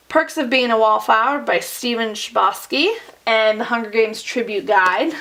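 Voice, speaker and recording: A woman with a fairly high pitch talks at a moderate pace, with ordinary pitch variation and noticeable background noise behind her. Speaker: booktuber; teacher. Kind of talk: bookshelf tour vlog.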